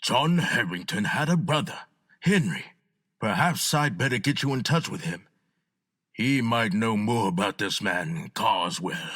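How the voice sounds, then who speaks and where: A man's put-on character voice at medium pitch, with very wide pitch swings and a moderate pace, on a very clean recording with a silent background. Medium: audio drama. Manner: calm, solicitous.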